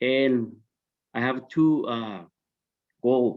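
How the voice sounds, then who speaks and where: A man with a non-native accent, medium pitch and ordinary pitch variation. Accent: foreign. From born abroad, came to US at seventeen. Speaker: social services professional. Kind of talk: panel discussion.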